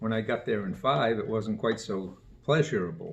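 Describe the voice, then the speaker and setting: A man talks at a fairly slow pace, his voice somewhat breathy. His pitch varies in an ordinary way. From Maine (Sabattus area). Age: 80s+. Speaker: local elder interviewee. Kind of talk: oral history interview.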